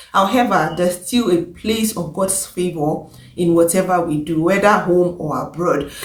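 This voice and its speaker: A woman with a Nigerian accent, fairly low-pitched, with ordinary pitch variation at a moderate pace, plus audible room echo and noticeable background noise. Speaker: vlogger, care assistant and pharmacist. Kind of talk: casual vlog advice.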